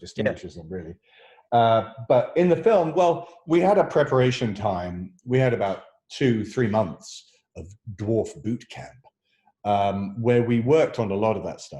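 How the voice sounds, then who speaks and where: At a fairly slow pace, a man with a medium-pitched, somewhat breathy, dark and mellow voice makes very wide pitch swings and big swings in loudness. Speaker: actor. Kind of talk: interview answer.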